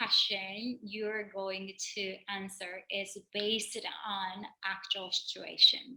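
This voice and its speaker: Speaking very slowly in a non-native accent, a woman uses a bright, sharp tone at a medium pitch. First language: not English. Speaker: personal trainer. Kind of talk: tutorial. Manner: halting.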